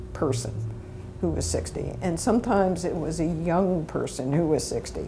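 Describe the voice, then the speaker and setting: Woman at a moderate pace over light background noise. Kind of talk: interview answer. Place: studio. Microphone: lapel.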